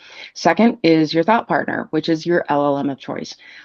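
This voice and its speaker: At a fairly quick pace, a woman talks. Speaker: fractional marketing executive. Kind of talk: podcast interview. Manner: fast; animated.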